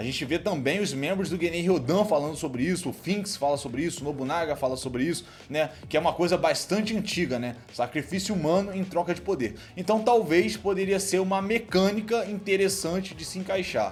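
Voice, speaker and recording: Animated and fairly quick, a man talks in a high voice with hardly any pauses. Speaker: anime YouTuber. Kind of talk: casual Q&A commentary. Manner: fast.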